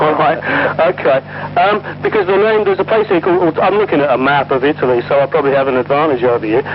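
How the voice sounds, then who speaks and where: A man with an English accent at a very fast pace, fairly high-pitched and lively in intonation, his loudness very even, with noticeable background noise. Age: 50s. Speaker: unit history researcher, son of a veteran. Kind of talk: casual chat. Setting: phone call. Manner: halting.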